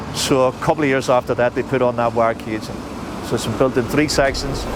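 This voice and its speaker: Noticeable background noise sits behind the recording. A man speaks with a Belfast accent in monotone, flat intonation. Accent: Belfast Northern Irish. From Northern Ireland, Belfast. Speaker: taxi tour guide. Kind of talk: guided tour talk.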